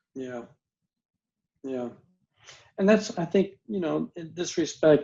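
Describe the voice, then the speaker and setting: A man with a fairly high pitch and an American accent, lively intonation, a very slow pace and long, frequent pauses. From US South, Mississippi. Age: 70s. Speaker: retired professor and author. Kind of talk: podcast interview. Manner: reflective, with frequent repetitions and restarts.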